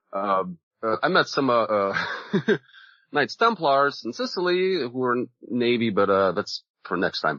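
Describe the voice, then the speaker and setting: A man talks at a fairly slow pace, leaving long, frequent pauses. His pitch is medium but swings very widely. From Soviet Union. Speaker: Navy veteran. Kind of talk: casual chat. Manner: halting, many fillers.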